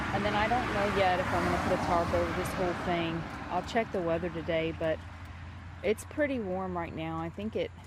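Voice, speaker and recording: Noticeable background noise runs through this clip. A woman speaks over it at a fairly quick pace. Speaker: homesteader vlogger. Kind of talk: casual vlog narration. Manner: halting.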